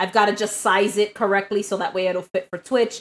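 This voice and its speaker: A woman in a New York accent. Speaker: live streamer. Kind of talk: casual chat. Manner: loud.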